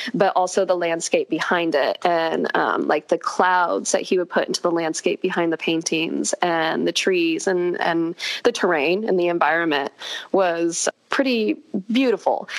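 A woman with an American accent speaks at a medium pitch and a fairly slow pace. The sound is dry and close with no echo, over noticeable background noise. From California. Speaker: equestrian social media creator. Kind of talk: casual interview chat.

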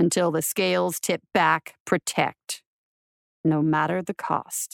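A woman's put-on character voice, low and slow with vocal fry and little pitch movement, in a dry, close sound with no echo on a very clean recording with a silent background.

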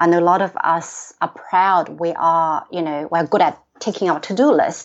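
A woman's fairly low voice with a Chinese accent and fairly even intonation. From China. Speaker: executive coach and author. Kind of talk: interview. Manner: frequent fillers and hesitations.

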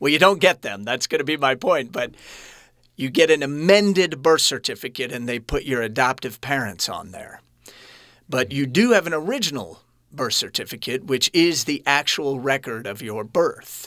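A man with an American accent speaks in a bright, sharp tone, his loudness swinging widely. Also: fairly high pitch for a man, lively intonation, moderate pace, very clean recording, silent background. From US Midwest, Kansas City. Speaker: actor and producer. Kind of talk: interview. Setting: studio.

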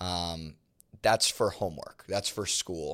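The recording is very clean, with a silent background. A man speaks at a fairly slow pace with fairly even intonation. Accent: American. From Philadelphia area. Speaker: professional lacrosse player and coach. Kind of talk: casual interview.

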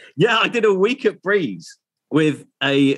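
This is a man speaking with a Yorkshire accent. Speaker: radio presenter. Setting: video call.

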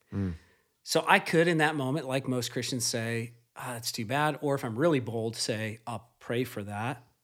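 Recorded very cleanly against a silent background, a man with an ordinary speaking voice at medium pitch talks at a moderate pace with ordinary pitch variation. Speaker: podcast host. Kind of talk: casual chat.

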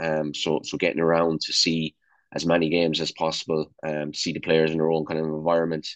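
Very deep and low, a man's voice holds a monotone, flat intonation. He moves at a fairly quick pace. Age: 40s. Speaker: national youth football coach. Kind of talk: casual interview.

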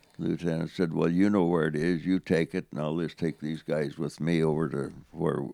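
The speaker has an American accent, vocal fry, a dark, mellow tone and fairly even intonation. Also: man. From central Saskatchewan, Canada; raised from teens in Yakima, Washington. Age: 90s. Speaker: war veteran. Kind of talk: interview storytelling.

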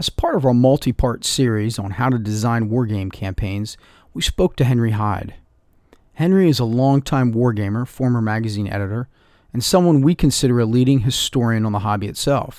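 On a very clean recording with a silent background, the speaker uses a normal speaking voice at a fairly quick pace. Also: man, medium pitch for a man, ordinary pitch variation. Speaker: podcast editor. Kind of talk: scripted intro.

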